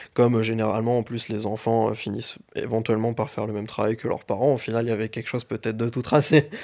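Rattling along at a very fast pace with hardly any pauses, a man keeps his medium-pitched voice flat and monotone. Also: very clean recording, silent background. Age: 20s. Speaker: IT engineer. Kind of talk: interview.

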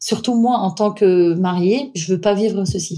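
Her dark, mellow tone sits at a medium pitch as the woman talks at a fairly slow pace with fairly even intonation. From Syria and Austria. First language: not French (speaking French). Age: 30s. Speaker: wedding planner. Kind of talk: interview. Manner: halting.

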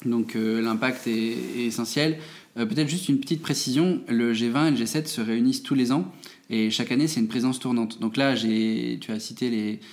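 A man's medium-pitched voice at a moderate pace. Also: ordinary pitch variation. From France, Moselle (Metz). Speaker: think tank director. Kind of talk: interview. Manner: hesitant, many fillers.

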